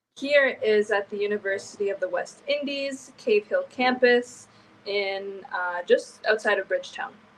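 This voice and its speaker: A plain, everyday voice from a woman with a Canadian accent, fairly high, fairly slow, with ordinary pitch variation. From Canada. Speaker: university student. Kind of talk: live interview.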